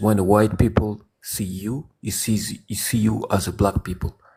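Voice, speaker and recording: At a fairly slow pace, a man with a French accent speaks in a dark, mellow tone that is somewhat breathy, keeping his intonation fairly even. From France. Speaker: caller. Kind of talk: debate. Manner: halting.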